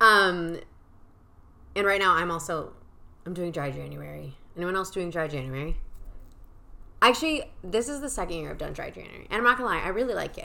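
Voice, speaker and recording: A woman's fairly quick, animated speech with a bright, sharp tone, fairly low pitch, vocal fry, lively intonation, big swings in loudness, long and frequent pauses, and audible room echo. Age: 20s. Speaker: podcast host. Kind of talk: casual monologue.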